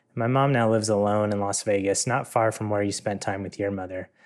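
An unremarkable speaking voice from a man, fairly low in pitch, at a fairly quick pace with fairly even intonation, on a very clean recording with a silent background. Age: 30s. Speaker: tech worker, listener asking a question. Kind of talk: recorded voice message question.

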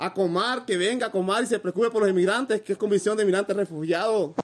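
At a very fast pace, a man talks in a high pitch with fairly even intonation. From Honduras, north coast Garifuna community. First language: Garifuna (speaking Spanish). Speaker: migrant. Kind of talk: interview. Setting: migrant shelter.

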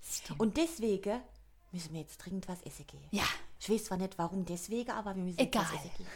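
Speaking very fast with a Palatine accent, a woman has a medium pitch and ordinary pitch variation. Her voice is somewhat breathy, and her loudness swings widely. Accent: Kurpfalz (Palatine) German. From Kurpfalz region, southwest Germany. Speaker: podcast co-host. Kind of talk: casual chat.

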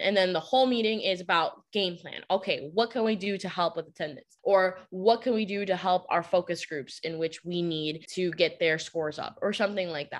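In a plain, everyday voice, a woman of medium pitch speaks at a moderate pace with ordinary pitch variation and hardly any pauses. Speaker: teacher and podcast host. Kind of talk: casual chat.

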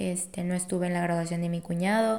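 A woman speaks with a Mexican accent. Her pace is moderate. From Mexico, Colima. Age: 20s. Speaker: student and intern. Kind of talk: casual interview chat.

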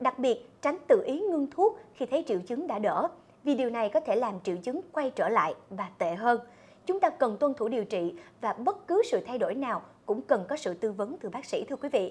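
Her high voice swinging very widely in pitch, a woman talks at a fairly quick pace. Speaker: program presenter. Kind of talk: presenting a health program. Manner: formal.

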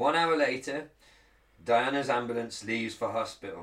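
The speaker has an English accent. Their pitch varies in an ordinary way. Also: man. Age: 30s. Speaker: podcast co-host. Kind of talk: reading aloud; casual chat. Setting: studio, streamed live on video.

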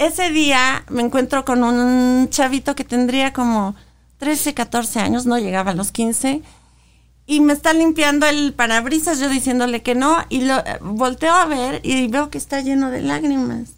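A woman speaks in a high voice at a fairly slow pace. Her pitch varies in an ordinary way. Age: 40s. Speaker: advertising agency director and activist. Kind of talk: interview testimony.

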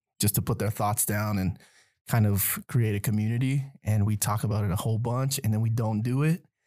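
The recording is very clean, with a silent background. A man with a dark, mellow tone and fairly low pitch speaks at a fairly quick pace with fairly even intonation. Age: 30s. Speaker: teacher. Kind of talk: casual chat.

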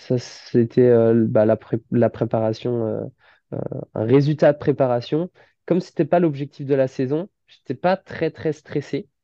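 Fairly slow speech from a man, medium in pitch, with ordinary pitch variation. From western France, Nantes and Saint-Nazaire. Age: 20s. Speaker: amateur triathlete and firefighter. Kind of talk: interview. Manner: halting, many fillers.

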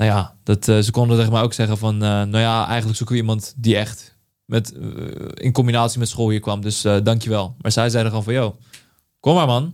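Recorded very cleanly against a silent background, the voice moves at a fairly quick pace with fairly even intonation. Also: man. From Netherlands, Vlaardingen. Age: 20s. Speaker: creative director. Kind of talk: interview. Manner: halting.

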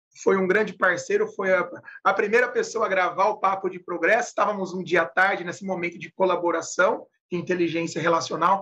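A man with a high pitch and a bright, sharp tone uses a raised, projected voice and fairly even intonation. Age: 30s. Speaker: podcast co-host, positive psychology. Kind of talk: casual chat.

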